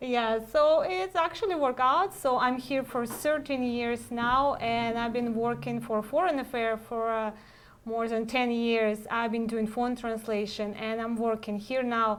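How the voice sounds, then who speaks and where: A woman with a Russian accent talks at a fairly slow pace. Her pitch is fairly high, with ordinary pitch variation. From Russia, Saint Petersburg. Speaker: matchmaker. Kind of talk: live web cast Q&A chat. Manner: halting, many fillers.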